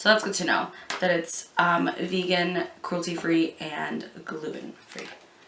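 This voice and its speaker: A woman at medium pitch talks at a fairly slow pace amid noticeable background noise and audible room echo. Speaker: beauty youtuber. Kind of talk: product review vlog.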